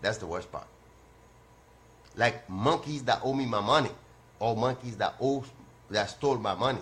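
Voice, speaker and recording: A man's medium-pitched, somewhat breathy voice at a moderate pace, animated in tone, with ordinary pitch variation. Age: 60s. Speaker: call-in show host. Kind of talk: casual monologue.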